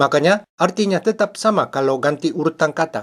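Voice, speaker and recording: A man with a Japanese accent speaks at a moderate pace. His voice is fairly high and his intonation lively. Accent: Japanese accent in Indonesian. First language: Japanese (speaking Indonesian). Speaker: language teacher. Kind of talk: tutorial. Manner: formal.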